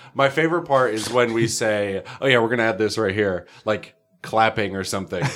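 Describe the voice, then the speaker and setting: A man with a plain, everyday voice and an American accent talks at a fairly quick pace and medium pitch with ordinary pitch variation. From northern New York. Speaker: podcast host. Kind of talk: casual chat.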